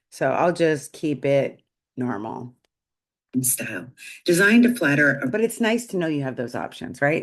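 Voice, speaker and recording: A woman's very deep, low pitch with very wide pitch swings. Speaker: AI trainer for small businesses. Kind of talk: tutorial. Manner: casual, conversational.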